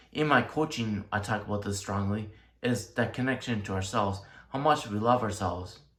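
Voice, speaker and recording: Room echo is audible around a man's fairly low voice. His tone is bright and sharp, with ordinary pitch variation. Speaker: tarot reader and life coach. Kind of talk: tarot reading monologue.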